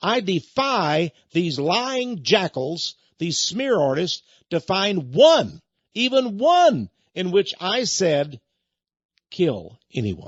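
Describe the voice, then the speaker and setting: With a Texan accent, a man speaks at a very slow pace in a high pitch that swings very widely. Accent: Texan American. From Texas. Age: 70s. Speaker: radio host and preacher. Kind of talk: radio monologue. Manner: animated.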